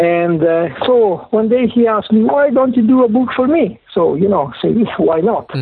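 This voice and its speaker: Lively in intonation and very even in loudness, a man speaks in a high voice with an Italian accent. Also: moderate pace. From Italy (Parma). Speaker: automotive book publisher and author. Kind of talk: interview. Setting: phone call. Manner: halting.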